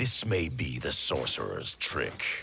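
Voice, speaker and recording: Speaking fairly slowly, a man uses a put-on character voice with a very deep, low pitch. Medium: video game. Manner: guarded, firm.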